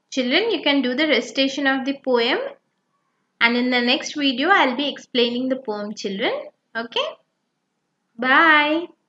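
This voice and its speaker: Raised and projected, a woman's high voice has a bright, sharp tone and ordinary pitch variation, broken by long, frequent pauses. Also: moderate pace. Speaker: teacher. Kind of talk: lesson talk to children.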